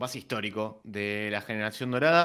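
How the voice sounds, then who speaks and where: The voice has a bright, sharp tone. The background is quiet. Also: man. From Argentina. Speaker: sports podcast co-host. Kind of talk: interview. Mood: friendly, upbeat. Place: home room. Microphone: studio mic.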